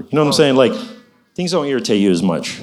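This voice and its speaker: A man speaks with music in the background. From grew up overseas as a missionary kid. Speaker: church volunteer. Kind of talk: testimony.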